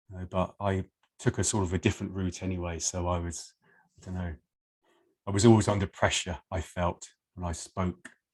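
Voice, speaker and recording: A man with an English accent, very deep and low in pitch, somewhat breathy, flat and monotone, at a fairly quick pace broken by long, frequent pauses. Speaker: person who stammers. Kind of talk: interview.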